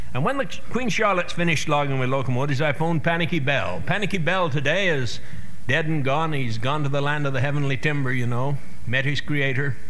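A man speaks very fast at a very even loudness, with ordinary pitch variation and light background noise. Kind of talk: speech to an audience. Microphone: old recording.

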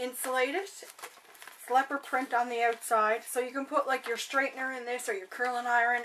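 A woman with a high pitch speaks at a moderate pace in a monotone, flat intonation, with noticeable background noise behind her. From Canada. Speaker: beauty vlogger. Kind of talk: casual vlog, unboxing. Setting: bedroom at home, recording alone. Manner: chatty, friendly.

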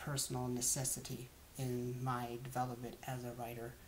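An American accent at a moderate pace over light background noise. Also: man. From US South, Georgia (Lawrenceville). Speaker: college student. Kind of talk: self-introduction monologue. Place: home room. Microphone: webcam.

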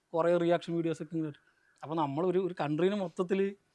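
Against a quiet background, a man with a high-pitched voice speaks in a monotone, flat intonation. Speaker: YouTube movie roaster. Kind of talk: interview.

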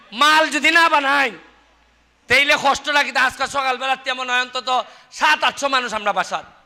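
Raising and projecting his voice, a man speaks at an extremely high pitch with a bright, sharp tone and ordinary pitch variation. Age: 40s. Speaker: member of parliament. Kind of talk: public speech.

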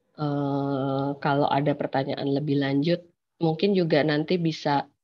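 There is a quiet background behind a woman talking. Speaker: law lecturer. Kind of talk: online lecture. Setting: video call. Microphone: unstable connection, audio cutting out; webcam.

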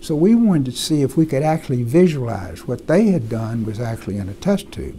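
Very wide pitch swings and a fairly quick pace in an American accent, over light background noise. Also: man. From US South, Mississippi. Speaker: retired medical researcher. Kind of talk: oral history interview. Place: office. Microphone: lapel.

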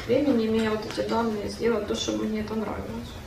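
A woman at a fairly quick pace over noticeable background noise. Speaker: workshop participant. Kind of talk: casual chat. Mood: hesitant, reflective. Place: hall. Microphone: camera far.

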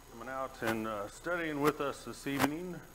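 There is noticeable noise behind this man. He talks at a moderate pace with lively intonation. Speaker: preacher. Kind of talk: sermon. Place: church.

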